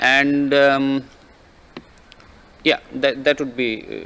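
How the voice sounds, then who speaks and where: Over noticeable background noise, a man with a non-native accent speaks at a very slow pace. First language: not English. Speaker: government delegate. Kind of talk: formal meeting intervention. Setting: conference room.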